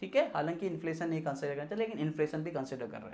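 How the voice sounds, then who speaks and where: A man is speaking. His intonation is lively. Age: 30s. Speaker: personal finance YouTuber. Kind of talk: tutorial. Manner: casual conversational with fillers.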